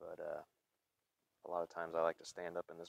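Fast speech with vocal fry in an American accent. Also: man, dry, close sound with no echo.

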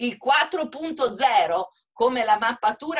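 Against a quiet background, a woman talks in a high voice with lively intonation and an animated tone. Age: 60s. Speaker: hotel owner. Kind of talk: webinar panel discussion. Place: home room. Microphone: video call.

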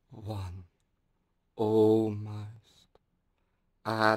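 The background is quiet. A man speaks at a fairly low pitch. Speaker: hypnotherapist, meditation guide. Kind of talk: guided hypnosis meditation. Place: home room.

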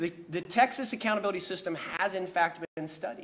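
A man with a high pitch speaks at a fairly quick pace. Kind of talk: press conference speech. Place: hall. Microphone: podium.

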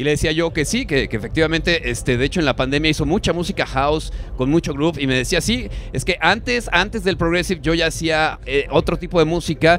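Over light background noise, a man talks at a very fast pace with ordinary pitch variation, the sound dry with no echo. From Mexico. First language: Spanish. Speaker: radio host. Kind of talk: live radio interview with Spanish interpretation. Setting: live radio broadcast at a festival. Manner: halting in English, many fillers. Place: booth. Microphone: handheld.

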